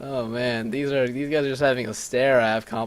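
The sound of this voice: An unforced reading voice, intonation kept fairly even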